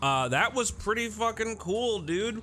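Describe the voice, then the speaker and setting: A man's pitch swings very widely while music plays behind him. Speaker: gaming YouTuber. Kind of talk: casual talk to camera. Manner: casual, profane.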